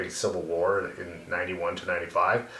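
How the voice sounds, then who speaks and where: In a Canadian accent, a man speaks at a moderate pace. Noticeable background noise and audible room echo fill the recording. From Canada, Yellowknife (Northwest Territories). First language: Bosnian. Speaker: youth hockey coach. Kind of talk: casual chat.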